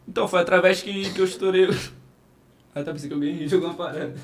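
Over music in the background, a man speaks very fast at a high pitch with ordinary pitch variation. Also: long, frequent pauses. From Rio de Janeiro (Cidade de Deus), born in Minas Gerais. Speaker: comedian and viral internet personality. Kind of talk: casual podcast chat.

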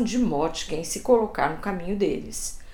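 Very wide pitch swings, with audible room echo and noticeable background noise. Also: woman. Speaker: journalist and podcast host. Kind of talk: scripted narration.

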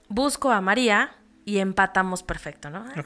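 A woman is talking. Her voice sounds bright and sharp. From Mexico, State of Mexico (Toluca). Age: 30s. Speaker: insurance and investment agent. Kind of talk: interview conversation.

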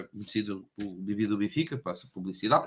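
The man's voice is somewhat breathy. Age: 30s. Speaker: sommelier. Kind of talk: casual interview. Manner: halting, many repetitions.

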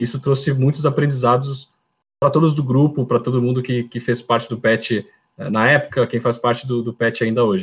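At a moderate pace, a man talks in a somewhat breathy medium-pitched voice with fairly even intonation. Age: 30s. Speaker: electrical engineer. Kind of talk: casual interview. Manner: halting, repeats words.

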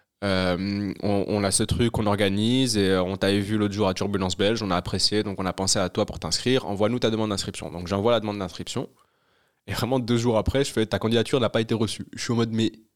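A man's very fast speech with fairly even intonation, in a very clean recording with a silent background. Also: fairly low pitch for a man. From Brussels, Belgium. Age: young. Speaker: stand-up comedian. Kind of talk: casual chat.

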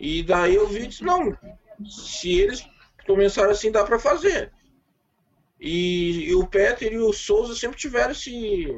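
A man speaks at a fairly slow pace in a high voice, his pitch swinging very widely, with long, frequent pauses. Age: 30s. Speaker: independent filmmaker. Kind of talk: casual chat.

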